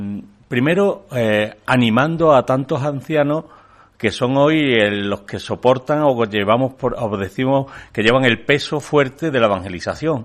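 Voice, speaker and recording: Here a man talks in a normal speaking voice with a medium pitch. His pace is fairly slow, and his pitch varies in an ordinary way. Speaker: bishop. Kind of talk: press conference statement. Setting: press conference room.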